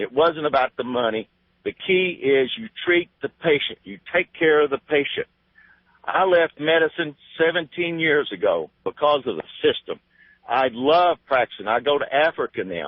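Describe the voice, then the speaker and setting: A man with an ordinary speaking voice, fairly high in pitch, at a moderate pace. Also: ordinary pitch variation. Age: 60s. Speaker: retired physician, caller. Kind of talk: call-in talk radio.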